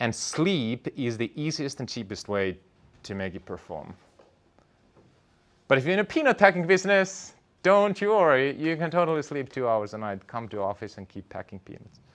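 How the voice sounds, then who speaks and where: A man with a non-native accent speaks at a moderate pace and a fairly high pitch, with very wide pitch swings and big swings in loudness, on a very clean recording with a silent background. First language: not English. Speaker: entrepreneur and startup founder. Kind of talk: talk to an audience.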